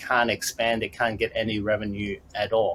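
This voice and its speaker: This man talks with an Australian accent. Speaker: business consultant. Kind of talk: podcast interview. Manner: halting, many fillers.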